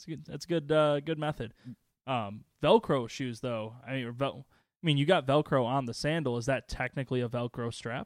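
Recorded very cleanly against a silent background, with a dry, close sound and no echo, a man speaks at a moderate pace and medium pitch in a normal speaking voice, showing ordinary pitch variation and big swings in loudness. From northern Illinois, Chicago area (Waukegan). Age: 20s. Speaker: podcast co-host. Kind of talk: casual chat. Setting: studio.

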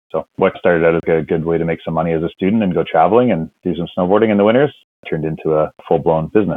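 His pitch is very deep and low, with ordinary variation. The man talks at a very fast pace. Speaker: commercial fisherman and seafood business owner. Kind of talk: interview.

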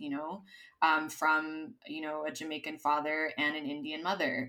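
This woman has a very deep, low pitch and a bright, sharp tone, speaking with an American accent. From US, Los Angeles, California. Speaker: DEI consultant. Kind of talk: interview conversation. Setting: remote recording from Madrid.

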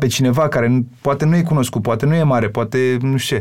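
On a very clean recording with a silent background, a man with a normal speaking voice talks at a fairly quick pace with ordinary pitch variation. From Romania, Bucharest. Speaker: singer and songwriter. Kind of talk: casual interview.

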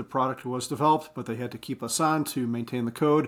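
Talking at a fairly quick pace, a man with a medium-pitched voice keeps his intonation fairly even on a very clean recording with a silent background. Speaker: podcast co-host. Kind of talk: casual chat. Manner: fast.

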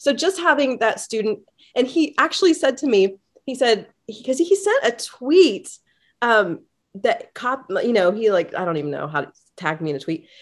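This woman's voice sits high. Her pitch swings very widely. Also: moderate pace. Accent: American. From Indiana, US Midwest. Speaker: music teacher, band director. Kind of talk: podcast interview.

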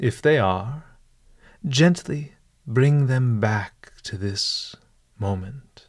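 A somewhat breathy, medium-pitched male voice at a very slow pace, calm and soothing in tone, with long, frequent pauses, on a very clean recording with a silent background. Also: lively intonation. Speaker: meditation guide host. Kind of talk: guided meditation with ornate, literary scripted narration. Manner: slow, calm, formal, deliberate, soothing; formal, elevated diction with dry humor.

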